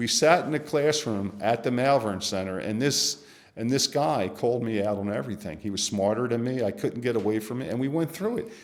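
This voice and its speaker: Talking at a fairly quick pace with hardly any pauses, a man with an unremarkable speaking voice uses a medium pitch and lively intonation. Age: 60s. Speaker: recovering alcoholic sharing his story. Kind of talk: testimony.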